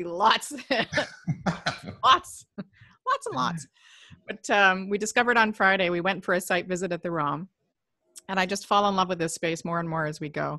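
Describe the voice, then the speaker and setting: A woman at medium pitch with a bright, sharp tone, a moderate pace, ordinary pitch variation and long, frequent pauses. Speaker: event host. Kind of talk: casual interview chat.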